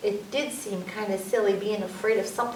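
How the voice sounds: The voice reads aloud. It sounds natural.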